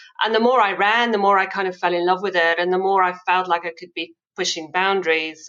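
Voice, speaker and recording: A woman with an American accent has a bright, sharp tone and fairly even intonation. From South Africa. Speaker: amputee ultrarunner. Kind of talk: interview, personal story.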